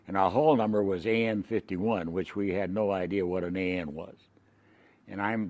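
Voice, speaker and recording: Against a quiet background, a man speaks with an American accent. His pitch is very deep and low, and his intonation fairly even. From California. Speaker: war veteran. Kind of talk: oral history interview. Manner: halting.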